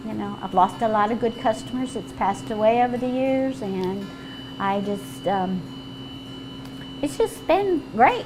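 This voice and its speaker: With music in the background, a woman talks with very wide pitch swings and long, frequent pauses. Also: medium pitch for a woman. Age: 60s. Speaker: restaurant owner and cook. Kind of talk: casual cooking demonstration and interview.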